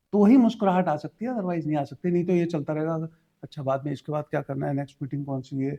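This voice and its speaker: Recorded with a dry, close sound and no echo, a man speaks at a fairly high pitch with a dark, mellow tone and ordinary pitch variation. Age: 50s. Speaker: life coach. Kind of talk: interview.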